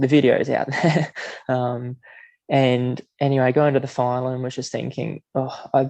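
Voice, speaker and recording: Quiet and flat in intonation, a man with an Australian accent speaks at a medium pitch and moderate pace. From Queensland, Australia. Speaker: middle-distance runner. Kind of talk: podcast interview answer. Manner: quietly spoken.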